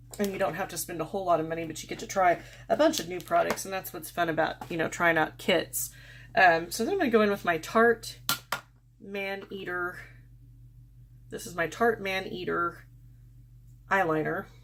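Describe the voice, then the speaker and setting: With a fairly low pitch and vocal fry, a woman talks at a moderate pace, leaving long, frequent pauses as her loudness swings widely. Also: ordinary pitch variation. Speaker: beauty vlogger. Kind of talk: makeup tutorial. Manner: casual, unscripted.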